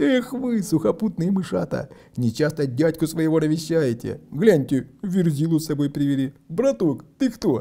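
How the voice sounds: Putting on a booming character voice, a man with a fairly high pitch, a dark, mellow tone and vocal fry speaks at a moderate pace with big pitch swings and few pauses.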